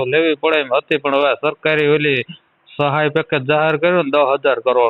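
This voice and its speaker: The man's pitch is fairly high. He speaks with monotone, flat intonation. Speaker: villager. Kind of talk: phone conversation. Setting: phone line.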